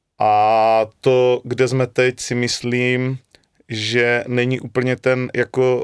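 A man in a Moravian accent with monotone, flat intonation. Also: quiet background. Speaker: football coach. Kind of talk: interview. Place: studio. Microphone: studio mic.

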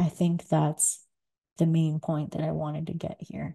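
A woman speaks at a fairly slow pace with a very deep, low pitch and a dark, mellow, somewhat breathy tone. Her intonation is monotone and flat over a quiet background. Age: 30s. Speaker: podcast host. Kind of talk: solo monologue. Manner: hesitant, many fillers. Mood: thoughtful, calm. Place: home room.

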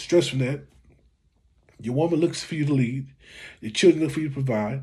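Over a quiet background, a man with a dark, mellow, somewhat breathy tone speaks fairly quickly with ordinary pitch variation. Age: 40s. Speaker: YouTube commentator. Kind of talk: reaction video commentary. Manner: casual, conversational. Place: home room. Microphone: phone near.

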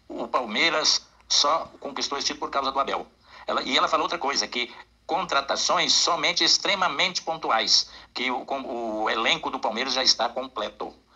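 A fairly high-pitched man with a bright, sharp tone, ordinary pitch variation and a moderate pace against a quiet background. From Uberlândia, Minas Gerais, Brazil; Minas Gerais, Brazil. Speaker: football fan sending voice message; football fan channel host. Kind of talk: voice message. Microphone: studio mic.

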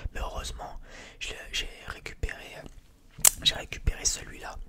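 Whispering, a soft-spoken man talks at a fairly slow pace. Loud background noise fills the clip. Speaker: music collector vlogger. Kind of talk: casual vlog chat. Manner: soft close-mic ASMR whisper. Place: home room. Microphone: studio mic.

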